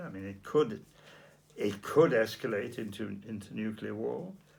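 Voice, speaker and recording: A man with vocal fry talks at a moderate pace with lively intonation. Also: big swings in loudness. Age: 80s+. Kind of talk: interview answer.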